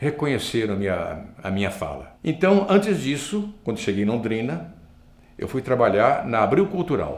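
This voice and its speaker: A man's medium-pitched voice with vocal fry, very wide pitch swings and a moderate pace. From northern Paraná, Brazil. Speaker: broadcaster and master of ceremonies. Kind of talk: interview. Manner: repetitive false starts.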